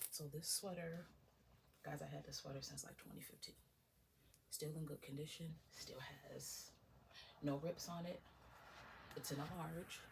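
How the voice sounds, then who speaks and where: Long, frequent pauses break up the speech. A woman is whispering at a moderate pace. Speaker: ASMR creator. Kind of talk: ASMR show-and-tell talk to camera. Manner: whispered.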